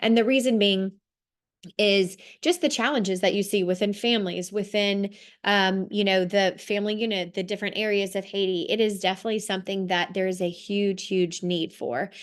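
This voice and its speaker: Her intonation stays fairly even. The woman speaks at a medium pitch. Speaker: social work program presenter. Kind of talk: presentation over video call. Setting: video call. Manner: fast.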